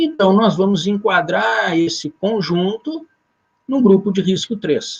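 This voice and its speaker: A man's high-pitched voice with lively intonation and very even loudness, at a very slow pace. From southern Brazil. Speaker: occupational safety lecturer. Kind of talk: lecture. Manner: halting, many fillers.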